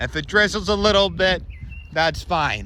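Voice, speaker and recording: Noticeable background noise under a male voice of ordinary pitch variation. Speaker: vlogger. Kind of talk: casual vlog walk-through. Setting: outdoors in a park. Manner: loud; halting, many fillers.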